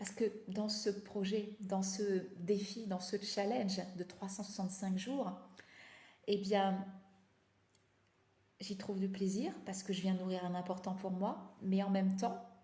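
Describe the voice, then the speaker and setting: With audible room echo, a somewhat breathy woman talks at a very slow pace, leaving long, frequent pauses in a monotone, flat intonation. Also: medium pitch for a woman. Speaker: life coach. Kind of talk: live stream talk. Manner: halting, many fillers.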